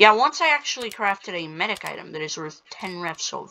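At a moderate pace, the speaking carries on while noticeable background noise sounds in the background. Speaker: gaming YouTuber. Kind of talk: gameplay commentary. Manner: hesitant, many fillers.

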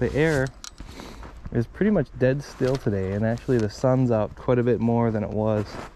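Ordinary pitch variation marks a man speaking at a moderate pace. Light background noise sits under a dry sound with no echo. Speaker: angler vlogger. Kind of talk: casual vlog chat. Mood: relaxed, mildly upbeat. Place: open country.

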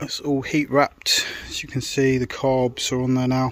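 A man speaks at a medium pitch and a fairly slow pace, with little pitch movement.

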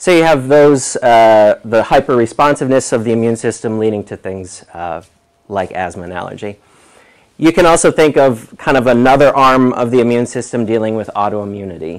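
Over a quiet background, a man with an American accent talks at a fairly quick pace with lively intonation. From New York. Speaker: environmental epidemiologist. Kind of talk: lecture. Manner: halting, many fillers. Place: classroom.

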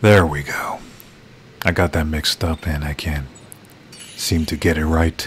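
Amid noticeable background noise, a man with a very deep, low pitch speaks at a fairly slow pace with fairly even intonation and long, frequent pauses. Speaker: gaming YouTuber. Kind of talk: video game playthrough commentary. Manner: halting, stumbling over words.

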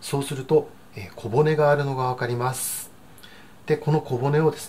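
A somewhat breathy man speaks at a moderate pace with fairly even intonation against light background noise. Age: 60s. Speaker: cooking channel host. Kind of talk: cooking tutorial. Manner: frequent filler words, hesitant. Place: kitchen.

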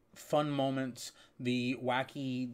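The speaker is a man. He keeps a monotone, flat intonation throughout. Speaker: streamer. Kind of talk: casual channel update talk.

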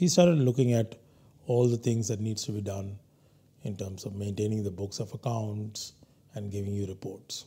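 A somewhat breathy voice at a moderate pace. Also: man. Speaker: guest lecturer. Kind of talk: lecture. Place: studio. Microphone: lapel.

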